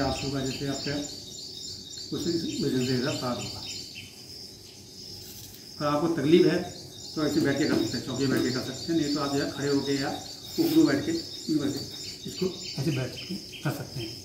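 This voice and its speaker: Against noticeable background noise, a man talks at a moderate pace in a fairly high pitch with fairly even intonation. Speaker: yoga instructor. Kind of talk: yoga tutorial instruction to camera. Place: home room. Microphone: camera far.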